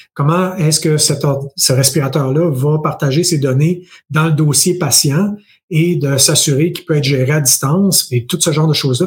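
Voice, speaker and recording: With a Quebec accent, the speaker sounds somewhat breathy and talks at a moderate pace with fairly even intonation. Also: man, fairly high pitch for a man. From Quebec, Bas-Saint-Laurent. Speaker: tech entrepreneur and investor. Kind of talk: interview.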